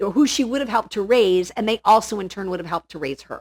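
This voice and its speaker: This woman has an unremarkable speaking voice at a medium pitch with lively intonation. The sound is dry and close, with no echo. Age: 50s. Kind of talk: casual chat.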